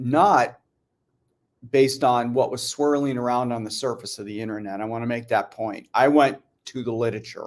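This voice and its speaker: Speaking at a moderate pace, a man with a medium pitch keeps his intonation fairly even while his loudness swings widely. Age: 60s. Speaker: biochemist health educator. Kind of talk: casual talk on health science. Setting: morning video show. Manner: hesitant with fillers and repetitions.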